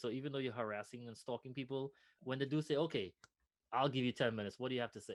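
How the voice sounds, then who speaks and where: A man with a Trinidadian accent speaks at a medium pitch. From Trinidad and Tobago. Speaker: nonprofit founder, former finance professional. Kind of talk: interview conversation.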